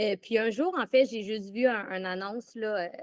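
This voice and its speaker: A woman with a Quebec accent and medium pitch, in a dry, close sound with no echo on a very clean recording with a silent background. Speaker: former theme park employee. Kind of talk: casual interview. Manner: halting.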